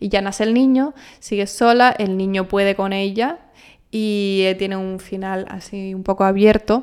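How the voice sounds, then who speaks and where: Ordinary pitch variation from a woman. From Canary Islands, El Hierro. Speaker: actress. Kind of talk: interview.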